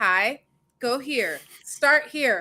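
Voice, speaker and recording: A woman's high, bright, sharp voice, raised and projected, with lively intonation and an American accent. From New York. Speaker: developer advocate co-host. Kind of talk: casual chat. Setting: live stream.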